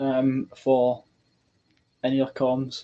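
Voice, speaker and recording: This man has a dark, mellow tone. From Scotland. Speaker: military gear collector streamer; streamer showing military radio gear. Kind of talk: live stream chat. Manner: hesitant, many ums. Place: home room. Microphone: webcam.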